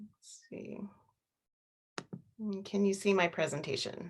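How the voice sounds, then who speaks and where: Somewhat breathy, the voice moves at a very slow pace with ordinary pitch variation. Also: woman. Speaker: wildlife biologist. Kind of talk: presentation.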